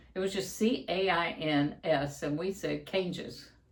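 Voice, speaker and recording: A woman with a fairly low-pitched voice is heard with audible room echo. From eastern Kentucky. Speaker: musician, channel co-host. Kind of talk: casual chat.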